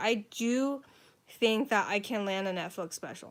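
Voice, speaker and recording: A woman speaks in an American accent in a very clean recording with a silent background. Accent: sounds American. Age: 20s. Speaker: author and comedian. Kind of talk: casual livestream chat. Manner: casual, filler-heavy.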